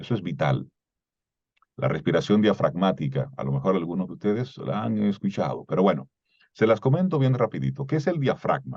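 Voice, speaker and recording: A fairly low-pitched man with vocal fry, very wide pitch swings, and a fairly quick pace. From Dominican Republic, Cibao (Salcedo). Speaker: voice and communication coach. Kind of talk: lecture.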